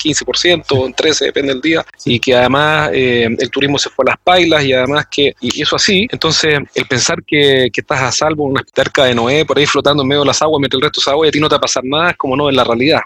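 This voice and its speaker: With hardly any pauses, a man races along at a very fast pace in a fairly high pitch and fairly even intonation, the sound dry and close with no echo. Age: 40s. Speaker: podcast host and sales trainer. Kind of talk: interview.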